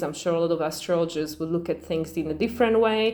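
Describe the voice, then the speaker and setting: There is noticeable background noise. A woman talks at a fairly low pitch with a non-native accent. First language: not English. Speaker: astrology channel host. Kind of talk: casual astrology talk to camera. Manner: fast; hesitant, many fillers.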